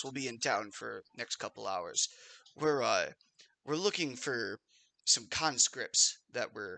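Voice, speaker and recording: A man performs a raspy, put-on character voice at a moderate pace, the sound dry and close with no echo. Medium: actual play. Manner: formal, officious.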